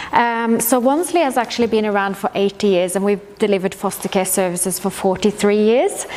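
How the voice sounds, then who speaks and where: Through noticeable background noise, a woman with a Norwegian accent speaks at medium pitch with ordinary pitch variation. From Norway. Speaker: social worker, foster care manager. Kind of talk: presentation. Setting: info session with audience, microphone.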